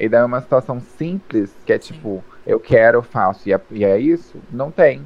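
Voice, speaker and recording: Using a normal speaking voice, a man talks at a moderate pace with hardly any pauses, lively intonation and big swings in loudness. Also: medium pitch for a man. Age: 20s. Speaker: drag performer and streamer. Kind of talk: casual chat.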